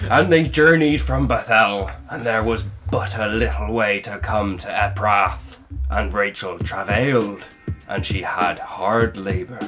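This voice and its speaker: A man speaks slowly-ish in a put-on character voice, fairly slow in pace, with faint music in the background. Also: fairly low pitch for a man. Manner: comic, pirate-style reading of scripture.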